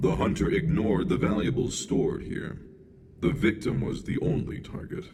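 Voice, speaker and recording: Using a put-on character voice at medium pitch, a man speaks at a moderate pace with very wide pitch swings and audible echo. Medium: video game. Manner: detached, clinical.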